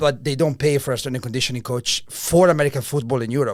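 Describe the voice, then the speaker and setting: A man with an Italian accent talks at a very fast pace. His medium-pitched voice keeps fairly even intonation. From Italy. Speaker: strength and conditioning coach. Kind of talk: interview.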